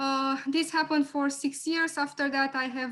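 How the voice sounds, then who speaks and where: Someone with a Romanian accent speaks at a moderate pace. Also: woman. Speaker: lawyer. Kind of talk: webinar presentation.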